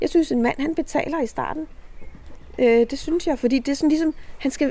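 A woman talks at a fairly quick pace with lively intonation and a dark, mellow tone. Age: 60s. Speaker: reality TV participant and author. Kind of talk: casual interview. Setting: outdoors in a garden.

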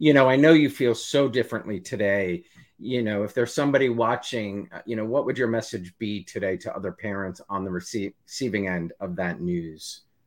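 This man has an unremarkable speaking voice, fairly low in pitch with ordinary pitch variation. He keeps a moderate pace with hardly any pauses. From US, New Jersey. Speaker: interview show host. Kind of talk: interview; scripted intro. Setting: live video stream.

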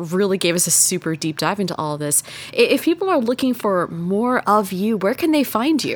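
Through noticeable background noise, a woman with an American accent speaks at a moderate pace and medium pitch, her pitch swinging very widely. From Texas. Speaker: podcast host. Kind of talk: casual chat.

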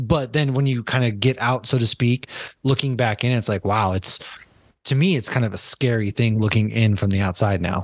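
In a plain, everyday voice, a man with an American accent speaks at a moderate pace and medium pitch, with ordinary pitch variation and very even loudness, recorded dry and close with no echo against a quiet background. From Massachusetts. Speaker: podcast host. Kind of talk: casual chat.

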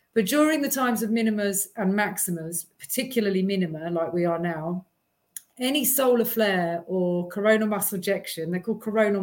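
This is a woman with a British accent. Her pitch is medium. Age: 40s. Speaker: holistic therapy researcher. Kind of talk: casual livestream chat. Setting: video call.

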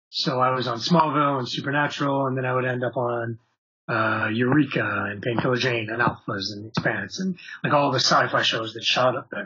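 With an unremarkable speaking voice, a man talks at a fairly quick pace and a medium pitch, with ordinary pitch variation. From Canada. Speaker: actor and voice actor. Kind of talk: interview.

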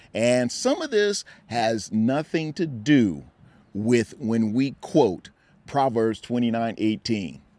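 At a very slow pace, a man speaks in a dark, mellow tone at medium pitch with ordinary pitch variation. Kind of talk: devotional podcast talk. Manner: deliberately slowed.

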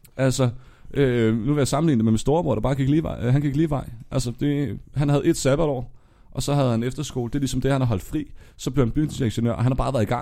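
In a very clean recording with a silent background, a man with a dark, mellow tone speaks at a very fast pace. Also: medium pitch for a man. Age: 20s. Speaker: nightlife worker turned banker. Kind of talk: casual chat. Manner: animated; halting.

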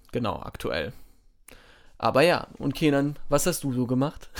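A man is the one talking. It is a very clean recording, with a silent background. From southern Germany, Baden. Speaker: podcast co-host. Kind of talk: casual chat.

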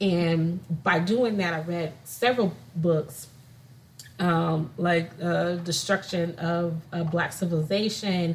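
A somewhat breathy woman's voice with an American accent, fairly low in pitch, at a very slow pace with fairly even intonation. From California. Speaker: podcast co-host. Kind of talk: casual chat.

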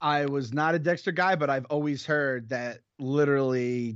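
At a moderate pace, a man uses a normal speaking voice with a medium pitch and fairly even intonation. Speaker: podcast co-host. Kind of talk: casual chat.

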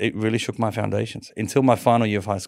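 A man with an Australian accent speaks very fast in a fairly low pitch with vocal fry. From Sydney, Australia. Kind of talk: interview testimony.

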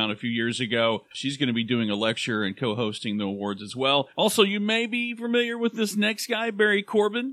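A man with an American accent talks at a fairly quick pace in a medium pitch, his voice making very wide pitch swings. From Oklahoma (Claremore). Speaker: podcast co-host. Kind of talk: casual chat.

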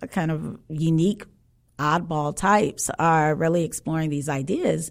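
Here is an unremarkable speaking voice from a woman with an American accent, pitched fairly low. She goes at a fairly slow pace in a very clean recording with a silent background. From Chicago South Side. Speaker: author and co-host. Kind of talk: casual chat.

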